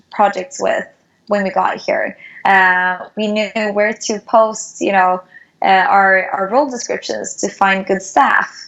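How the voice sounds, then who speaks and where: A woman speaks very slowly at a medium pitch, her intonation fairly even. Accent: Swedish. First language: Swedish. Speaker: startup founder. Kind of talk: interview.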